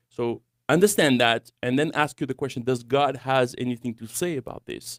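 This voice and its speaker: Speaking in a French accent at a moderate pace, a man shows big swings in loudness, recorded with a dry, close sound and no echo. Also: medium pitch for a man, ordinary pitch variation. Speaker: young adults ministry director. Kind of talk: radio talk show discussion. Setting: studio.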